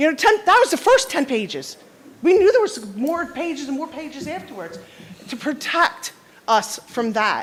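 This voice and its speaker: A woman talks at a high pitch and a moderate pace, with very wide pitch swings and big swings in loudness. Noticeable background noise is present. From South Jersey. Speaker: resident speaking at public comment. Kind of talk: public comment at council meeting. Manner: loud, forceful; halting, many restarts.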